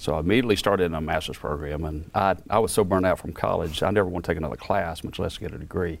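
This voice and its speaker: Talking very fast in a Mississippi accent, the speaker hardly pauses at all and uses ordinary pitch variation. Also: man, very deep, low pitch for a man. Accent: Southern US (Mississippi). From Mississippi (Perry County, rural south). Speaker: research center director, engineer. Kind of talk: interview.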